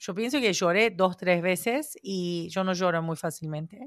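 The speaker is a woman talking at a fairly slow pace. Her pitch varies in an ordinary way. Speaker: podcast host. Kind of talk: casual chat.

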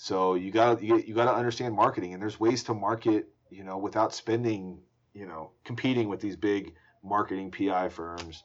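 This is a normal speaking voice with an American accent, fairly even intonation, a moderate pace and big swings in loudness. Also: man, fairly low pitch for a man. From US South, Atlanta. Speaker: trial lawyer. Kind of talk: casual interview.

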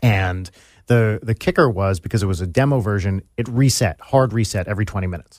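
Recorded very cleanly against a silent background, an ordinary speaking voice goes at a fairly quick pace with ordinary pitch variation. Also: man, fairly low pitch for a man. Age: 40s. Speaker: musician and YouTube personality. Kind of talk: casual chat. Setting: studio.

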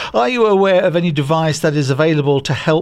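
A man speaks with a British accent at a moderate pace. His pitch is fairly high, with ordinary pitch variation. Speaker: co-host. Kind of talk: podcast chat and news reading.

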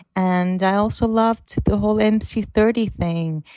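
The speech comes at a very slow pace in a Korean accent. The sound is dry and close with no echo. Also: woman. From South Korea. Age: 20s. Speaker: listener sending voice message. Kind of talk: recorded voice message. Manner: excited.

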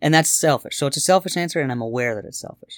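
A man talks at a medium pitch. The recording is very clean, with a silent background and a dry, close sound with no echo. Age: 30s. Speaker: musician and songwriter. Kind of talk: casual chat.

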